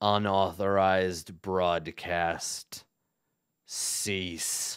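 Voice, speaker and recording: A man does a raspy, put-on character voice in a very deep, low pitch. He talks at a very slow pace in a monotone, flat intonation on a very clean recording with a silent background. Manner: flat, mechanical.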